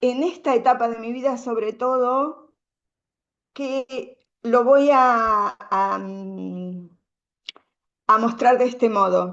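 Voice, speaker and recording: Very slow speech from a woman with a high voice, long, frequent pauses and big swings in loudness. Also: ordinary pitch variation. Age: 60s. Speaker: women's circle speaker. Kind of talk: conference talk. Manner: halting.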